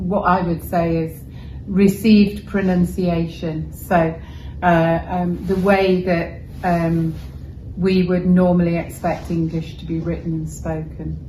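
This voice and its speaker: A woman with a Welsh accent speaks at a very slow pace in a monotone, flat intonation. Audible room echo and noticeable background noise fill the recording. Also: fairly low pitch for a woman. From Wales. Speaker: journalist. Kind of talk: interview. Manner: measured, articulate.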